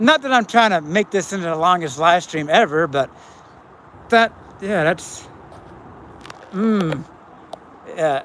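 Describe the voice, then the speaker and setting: Pausing long and often, a man talks at a high pitch with lively intonation against noticeable background noise. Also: fairly slow pace. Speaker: YouTuber. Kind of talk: live stream chat. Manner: halting.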